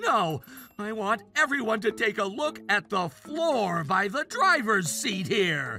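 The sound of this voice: A cartoonish character voice at a fairly high pitch moves at a fairly slow pace over clear music in the background.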